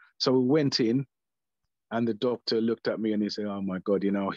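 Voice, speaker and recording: A man speaks at fairly low pitch. The sound is dry and close with no echo, over a quiet background. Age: 60s. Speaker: prostate cancer survivor. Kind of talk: panel discussion. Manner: halting.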